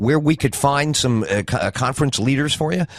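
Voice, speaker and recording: A man with an American accent talks at a fairly quick pace and medium pitch. He has a plain, everyday voice. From New York City. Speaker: radio talk show host. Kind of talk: radio interview.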